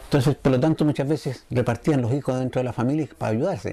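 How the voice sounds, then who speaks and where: A man talks at a fairly high pitch, his pitch varying in an ordinary way. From Chile, Curicó. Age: 60s. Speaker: muralist and artist. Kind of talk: interview testimony. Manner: halting, with frequent fillers.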